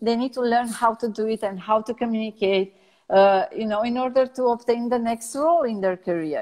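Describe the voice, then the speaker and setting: A woman with a Romanian accent, fairly high in pitch, with ordinary pitch variation at a moderate pace. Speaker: personal branding strategist. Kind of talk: interview. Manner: halting, many fillers.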